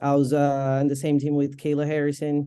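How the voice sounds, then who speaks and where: With a Portuguese accent, a woman speaks at a moderate pace in a very deep, low pitch and a dark, mellow tone. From Brazil. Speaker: MMA fighter and boxer. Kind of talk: interview.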